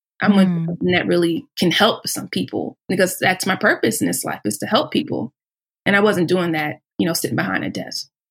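A woman with fairly low pitch and vocal fry talks at a fairly quick pace, her pitch swinging very widely. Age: 30s. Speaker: plant-based weight loss coach. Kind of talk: casual chat.

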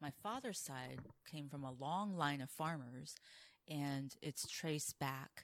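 A woman speaks at a very slow pace. Her pitch is very deep and low. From Taiwan. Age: 40s. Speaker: drag king performer. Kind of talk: casual interview chat. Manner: animated.

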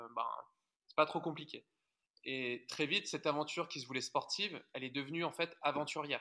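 A man with a fairly high, bright, sharp voice talks at a moderate speed, his pitch varying in an ordinary way. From France, Haute-Marne. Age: 30s. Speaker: adventurer and author. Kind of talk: interview conversation.

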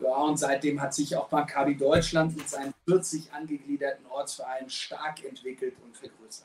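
A man's fairly high-pitched, monotone, flat delivery at a moderate pace, with big swings in loudness. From Germany, Frankfurt. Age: 40s. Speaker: sports club president. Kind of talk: interview.

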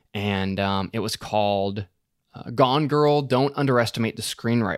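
Against a silent background in a very clean recording, a man with a plain, everyday voice speaks at a moderate pace, his fairly low pitch carrying ordinary variation. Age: 20s. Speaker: YouTuber teaching screenwriting. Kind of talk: interview.

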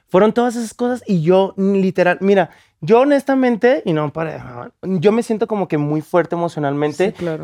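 Speaking at a fairly quick pace, a man with a high pitch and lively intonation sounds dry and close with no echo. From Mexico, Guadalajara. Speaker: content creator and photographer. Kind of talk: casual chat.

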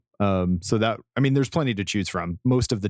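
A man with an American accent at a fairly quick pace, with ordinary pitch variation, on a very clean recording with a silent background. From Colorado. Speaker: entertainment editor and podcaster. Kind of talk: scripted narration; casual chat.

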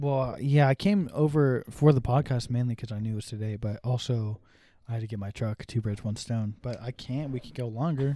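At a fairly quick pace, a man speaks in a dark, mellow tone at medium pitch with ordinary pitch variation. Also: very clean recording, silent background. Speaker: podcast co-host. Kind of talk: casual chat. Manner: halting.

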